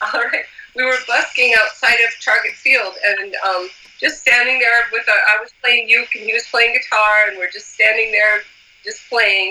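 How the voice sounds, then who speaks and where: A woman with an American accent talks at a moderate pace with ordinary pitch variation. Her voice sits fairly high, and there is noticeable background noise. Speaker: musician. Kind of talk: casual interview chat.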